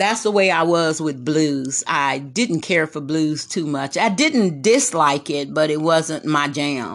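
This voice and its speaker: In a Texas accent, a woman speaks at a very slow pace with very deep, low pitch and hardly any pauses. The background is quiet. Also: ordinary pitch variation. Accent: Texas Southern. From Texas, Corpus Christi. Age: 60s. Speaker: host's mother. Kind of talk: casual chat.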